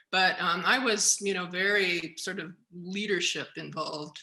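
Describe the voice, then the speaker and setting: Speaking at a fairly slow pace, a woman with a Canadian accent has an unremarkable speaking voice, a fairly low pitch and ordinary pitch variation. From Ontario, Canada (Oshawa). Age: 60s. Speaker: artist. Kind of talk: interview. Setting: video call.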